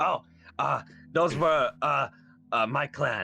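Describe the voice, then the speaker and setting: Someone speaks very slowly in a put-on character voice. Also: man. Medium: actual play. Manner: halting, stammering.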